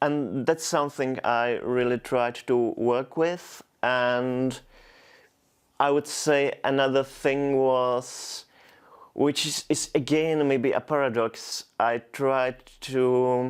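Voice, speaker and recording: A man with a Czech accent, medium pitch, monotone, flat intonation and a very slow pace, on a very clean recording with a silent background. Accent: Czech, noticeable. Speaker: poet. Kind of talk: interview. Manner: halting, frequent repetitions.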